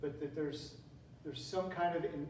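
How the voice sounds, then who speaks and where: Audible room echo surrounds a man with an American accent whose fairly high voice stays monotone and flat. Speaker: teacher giving a talk on classical education. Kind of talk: lecture. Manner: conversational, with repetitions and fillers.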